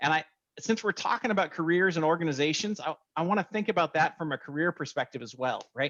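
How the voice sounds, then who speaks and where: A man talks at a very fast pace in a fairly high pitch. His pitch varies in an ordinary way, and the sound is dry and close with no echo. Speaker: cybersecurity podcast host, hiring manager. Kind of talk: podcast explanation, casual. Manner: animated.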